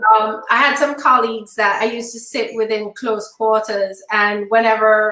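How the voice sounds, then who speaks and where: A woman at a moderate pace, with audible room echo. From Jamaica. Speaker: panelist. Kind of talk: casual panel discussion. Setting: online video broadcast.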